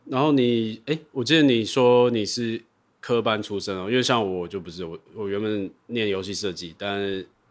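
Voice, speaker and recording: Here is an ordinary speaking voice at a moderate pace. Its pitch varies by an ordinary amount. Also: man, fairly low pitch for a man. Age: 30s. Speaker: video director and podcast host. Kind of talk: casual chat.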